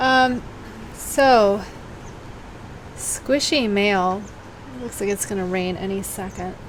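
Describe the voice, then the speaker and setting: At a very slow pace with long, frequent pauses, a woman of medium pitch speaks with lively intonation amid audible room echo. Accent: American. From US Midwest (Cincinnati), Boston-born family. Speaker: knitting podcast host. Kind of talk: casual chat. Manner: hesitant, halting; rambling, digressive.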